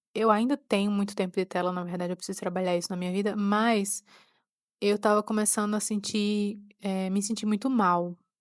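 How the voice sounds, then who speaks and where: Recorded very cleanly against a silent background, a woman speaks at a medium pitch and a moderate pace with monotone, flat intonation and a dry, close sound with no echo. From Pernambuco, Brazil. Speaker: podcaster. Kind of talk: personal reflective monologue. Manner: halting.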